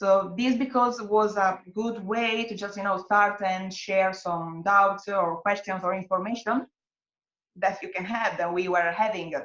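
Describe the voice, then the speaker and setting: A fairly slow pace in an Italian accent. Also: woman, medium pitch for a woman, fairly even intonation. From Italy. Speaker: hostel worker and network organizer. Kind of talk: webinar interview. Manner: halting, many fillers.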